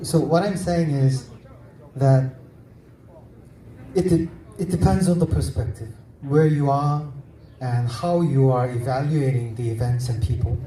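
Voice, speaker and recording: This speaker has a Korean accent and leaves long, frequent pauses. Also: man, medium pitch for a man, ordinary pitch variation, fairly slow pace. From South Korea. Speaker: novelist. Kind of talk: literary festival panel discussion. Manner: halting, self-correcting.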